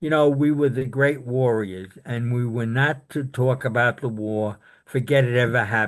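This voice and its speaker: Against a quiet background, a man with a New York accent talks with hardly any pauses. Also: medium pitch for a man, ordinary pitch variation, moderate pace. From Brooklyn, New York. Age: 80s+. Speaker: war veteran. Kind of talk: interview. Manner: halting.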